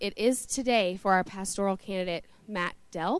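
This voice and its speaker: In a plain, everyday voice, a woman speaks at a moderate pace with lively intonation. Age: young. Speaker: church board member. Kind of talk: announcement. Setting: church.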